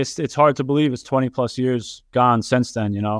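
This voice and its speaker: A man with a New York accent speaks at medium pitch, recorded very cleanly against a silent background with a dry, close sound and no echo. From New York, Yonkers. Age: 30s. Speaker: professional soccer goalkeeper. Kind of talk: interview.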